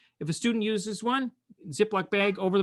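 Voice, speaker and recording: A bright, sharp, high-pitched man's voice at a fairly quick pace. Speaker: online teaching workshop facilitator, music educator. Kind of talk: webinar tutorial. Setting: online webinar. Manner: fast. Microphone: expensive studio microphone; far from the mic, six feet away.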